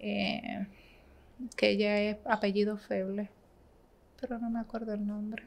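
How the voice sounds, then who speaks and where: Her pitch is medium and her intonation monotone and flat, as a woman speaks at a fairly slow pace with long, frequent pauses. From Dominican Republic, San Pedro de Macorís; Dominican Republic. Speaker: bank manager; podcast guest. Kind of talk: casual interview. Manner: talkative. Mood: relaxed, warm. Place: studio. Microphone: studio mic.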